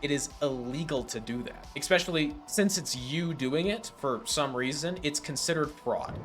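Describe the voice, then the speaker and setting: A man is speaking. Music plays in the background. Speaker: personal finance YouTuber. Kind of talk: direct-to-camera tutorial. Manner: fast; animated.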